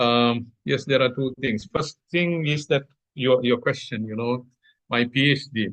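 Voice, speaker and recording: Pitch rises and falls in an ordinary way. The delivery is fairly slow. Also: man. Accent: Sri Lankan. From Sri Lanka. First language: Sinhala. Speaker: agricultural scientist. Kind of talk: interview. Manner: halting.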